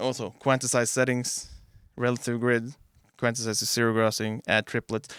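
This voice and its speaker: A man's voice in a Norwegian accent, with monotone, flat intonation, very even loudness and a moderate pace, in a dry sound with no echo against a quiet background. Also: medium pitch for a man. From Norway. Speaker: music producer. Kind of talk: tutorial. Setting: home studio. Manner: casual. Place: studio. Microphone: studio mic.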